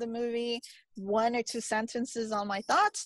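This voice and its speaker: A woman's fairly high, monotone voice with flat intonation, fairly slow pace and an American accent against a quiet background. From US West Coast, East Los Angeles. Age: 30s. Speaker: film critic. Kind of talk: interview. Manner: halting.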